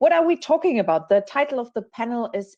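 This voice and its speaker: Against a quiet background, a woman with a German accent speaks with very wide pitch swings. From Germany. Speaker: panel moderator. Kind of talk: panel discussion.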